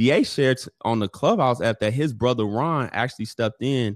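A man speaks with ordinary pitch variation. The recording is very clean with a silent background and a dry, close sound with no echo. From Chicago, far east side. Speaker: former basketball player and podcaster. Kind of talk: interview storytelling.

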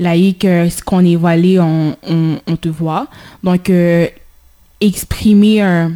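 A woman speaks at a very slow pace with fairly even intonation. Her voice is fairly low, with a dark, mellow tone. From Haiti. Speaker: community radio host. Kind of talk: radio discussion. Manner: halting.

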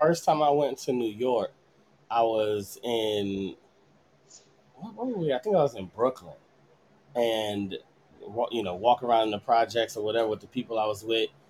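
A man with an American accent at a medium pitch and moderate pace, with ordinary pitch variation and long, frequent pauses. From California. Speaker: podcast host. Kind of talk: casual chat.

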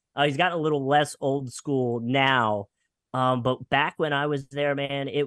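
At a moderate pace, a man talks with a slight Philadelphia accent. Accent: slight northern US (Philadelphia area). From Pennsylvania, near Philadelphia. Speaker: radio personality. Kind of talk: casual interview chat.

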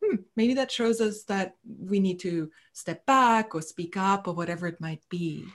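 A woman uses a normal speaking voice at medium pitch, going at a fairly slow pace with hardly any pauses and ordinary pitch variation. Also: quiet background. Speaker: psychotherapist. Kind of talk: casual interview.

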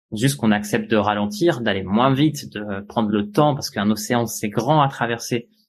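A man talks at a moderate pace. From France. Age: 30s. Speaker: sailor. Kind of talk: interview. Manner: halting.

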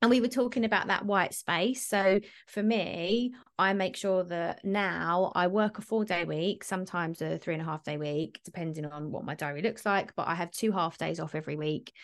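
Against a quiet background, a woman with a British accent talks at a medium pitch with hardly any pauses. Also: ordinary pitch variation, moderate pace. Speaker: business coach and mentor. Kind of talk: casual interview chat.

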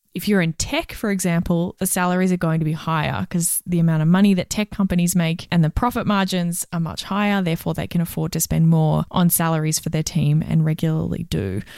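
In a very clean recording with a silent background, a woman talks at a fairly quick pace with ordinary pitch variation and hardly any pauses. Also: fairly low pitch for a woman. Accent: Australian. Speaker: HR and recruitment professional, podcast co-host. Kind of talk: casual advice chat.

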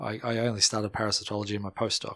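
On a very clean recording with a silent background, the speech races at a very fast pace in a monotone, flat intonation. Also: man. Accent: Australian. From Melbourne, Australia. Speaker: molecular biologist. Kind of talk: casual interview chat.

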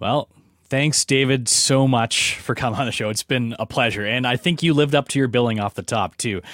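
With a Canadian accent, a man speaks at a fairly quick pace in a medium pitch with ordinary pitch variation. His is an ordinary speaking voice, on a very clean recording with a silent background. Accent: general Canadian. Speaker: podcast host. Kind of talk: casual interview chat.

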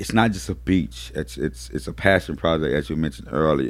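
Very wide pitch swings mark this man's speech, which carries vocal fry. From New Orleans. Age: 40s. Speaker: community organizer and activist. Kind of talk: casual interview. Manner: repetitive, halting starts.

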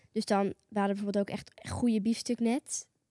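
A woman with a fairly high pitch speaks at a moderate pace in a normal speaking voice, recorded with a dry, close sound and no echo. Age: young. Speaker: podcast sidekick. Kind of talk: casual chat.

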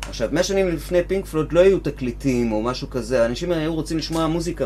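A man speaks fairly quickly with ordinary pitch variation. It is an ordinary speaking voice. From Israel, Givatayim. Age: 50s. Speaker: guitar teacher and musician. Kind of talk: casual chat.

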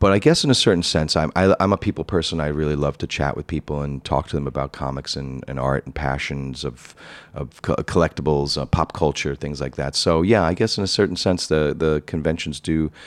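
Over noticeable background noise, a man with a New York accent talks at a fairly quick pace in a very deep, low voice with ordinary pitch variation. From New York City (Queens). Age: 40s. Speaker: high-end comic book dealer. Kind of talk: interview. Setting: on location at his shop.

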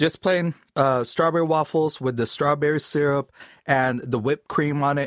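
A man with a fairly high pitch speaks in an unremarkable speaking voice. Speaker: voiceover artist. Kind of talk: casual chat. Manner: playful with voices.

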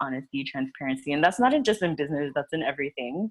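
Her pitch very deep and low, a woman speaks with an American accent. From Miami, Florida. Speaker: PR agency owner. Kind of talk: casual chat.

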